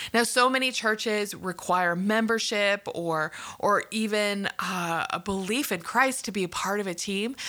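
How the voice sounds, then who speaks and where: On a very clean recording with a silent background, a woman with a Canadian accent speaks at a fairly slow pace with hardly any pauses, her medium pitch showing ordinary variation and her tone bright and sharp. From Canada. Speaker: podcast host, care ministry leader and former clinical social worker. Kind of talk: solo podcast teaching monologue.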